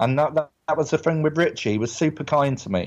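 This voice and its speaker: An English accent against a quiet background. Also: man. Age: 30s. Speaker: actor. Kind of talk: casual chat.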